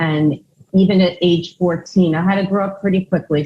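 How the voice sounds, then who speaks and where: A woman's somewhat breathy voice. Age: 60s. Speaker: mental health counselor. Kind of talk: testimony.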